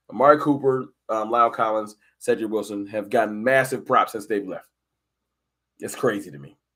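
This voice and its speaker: On a very clean recording with a silent background, a man with a New York accent talks at a fairly quick pace and medium pitch, with ordinary pitch variation, big swings in loudness, and long, frequent pauses. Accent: sounds like New York. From Pennsylvania (Harrisburg), born in Texas. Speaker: sports live streamer. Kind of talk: casual live stream chat. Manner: casual, conversational.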